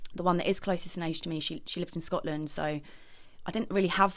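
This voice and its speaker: In a southern English accent, a woman speaks with a fairly low pitch. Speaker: podcast guest. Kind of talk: personal testimony. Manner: hesitant.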